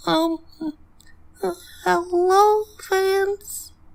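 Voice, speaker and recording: The voice is a put-on character. It sits at an extremely high pitch. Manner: shy, hesitant greeting.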